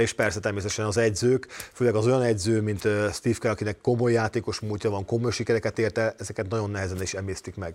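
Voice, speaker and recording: Words come out very quickly, and the intonation stays mostly flat. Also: man. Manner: halting, hesitant.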